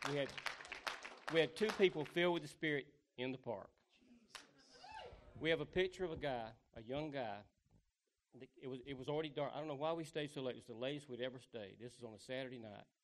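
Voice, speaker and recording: A man with a Southern US accent talks at a fairly quick pace and a fairly high pitch, with ordinary pitch variation. His loudness swings widely, and he takes long, frequent pauses. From US South. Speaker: street evangelist. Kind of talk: testimony.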